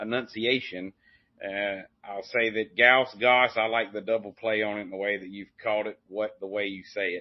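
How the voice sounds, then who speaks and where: Big swings in loudness mark this man's fairly low, monotone, flat delivery at a moderate pace in a strong Southern Appalachian accent. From Appalachian foothills, US South. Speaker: podcast host. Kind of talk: casual interview chat.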